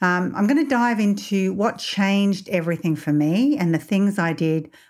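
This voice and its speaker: A woman with an Australian accent, lively intonation and a moderate pace, on a very clean recording with a silent background. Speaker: mindset coach and podcast host. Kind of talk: personal storytelling monologue.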